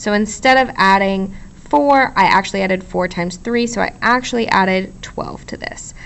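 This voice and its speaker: A woman's normal speaking voice, medium in pitch, at a moderate pace with hardly any pauses and ordinary pitch variation. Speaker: math teacher. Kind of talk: tutorial.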